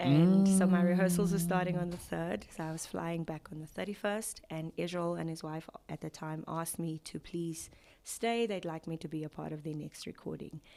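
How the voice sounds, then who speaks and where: A woman with a South African accent, fairly low pitch, fairly even intonation and a moderate pace. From South Africa, Mpumalanga. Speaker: gospel singer. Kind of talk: interview.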